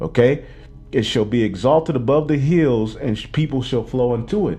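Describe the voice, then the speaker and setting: His tone is dark and mellow. The man's intonation is lively. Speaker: religious teacher. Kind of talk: bible class teaching. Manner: fast.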